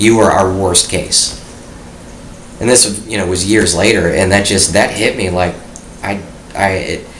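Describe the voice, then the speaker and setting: A man speaks slowly-ish and monotone, in a fairly low, flat voice with long, frequent pauses. Audible room echo and noticeable background noise fill the recording. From US Midwest, Detroit area. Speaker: war veteran. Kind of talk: interview, personal testimony.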